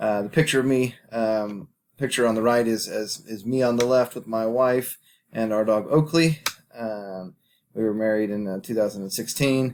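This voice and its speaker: Ordinary pitch variation marks the medium-pitched speech of a man. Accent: American. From Kansas, US Midwest. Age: 20s. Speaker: teacher and graduate student. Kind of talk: recorded class presentation. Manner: halting, many fillers and repeated words.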